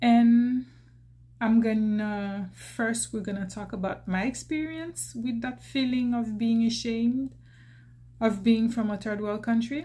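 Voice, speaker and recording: A woman with a Haitian accent speaks at a fairly slow pace, her dark, mellow tone carried by fairly even intonation. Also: fairly high pitch for a woman. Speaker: YouTuber. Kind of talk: personal vlog talk. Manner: hesitant, many fillers and restarts.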